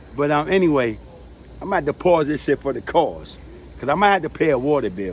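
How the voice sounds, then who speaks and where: A fairly high-pitched man with vocal fry, lively intonation and a fairly quick pace. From New York City, the Bronx. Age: 60s. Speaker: family member interviewee. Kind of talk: casual chat.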